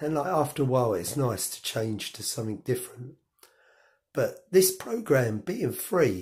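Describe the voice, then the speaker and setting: A man with a medium-pitched, somewhat breathy voice. His intonation is lively. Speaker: cycling vlogger. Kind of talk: casual tutorial. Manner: hesitant, many fillers.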